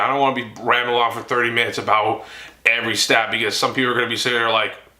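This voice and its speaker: Amid noticeable background noise and audible room echo, a man rattles along very fast. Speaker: sports YouTuber. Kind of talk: casual monologue.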